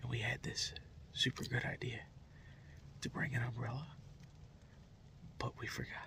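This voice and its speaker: Whispered male speech at a moderate tempo, broken by long, frequent pauses. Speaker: hunting video host. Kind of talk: casual outdoor vlog commentary. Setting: in a truck. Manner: quiet, hushed.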